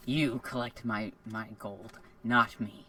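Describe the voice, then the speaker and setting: At a fairly slow pace and medium pitch, a man delivers his lines in a put-on character voice. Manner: sinister.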